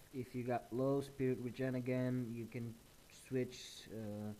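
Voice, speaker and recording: In a dark, mellow tone, a man speaks at a medium pitch and fairly slow pace with monotone, flat intonation. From Portugal. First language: Portuguese. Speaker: gaming YouTuber. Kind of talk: gameplay tutorial. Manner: hesitant, many fillers.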